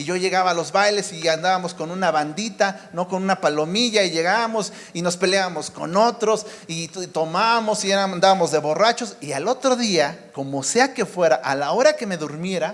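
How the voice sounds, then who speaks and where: There is noticeable background noise in this clip. A man speaks at a moderate pace with a high pitch. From Mexico City area. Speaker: preacher. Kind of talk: sermon.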